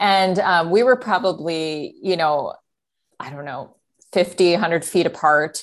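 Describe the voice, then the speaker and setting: A woman speaks at a fairly slow pace in a fairly low pitch, with ordinary pitch variation. She has a normal speaking voice, and the background is quiet. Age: 30s. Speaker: podcast guest, seminary friend. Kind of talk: casual interview. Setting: video call.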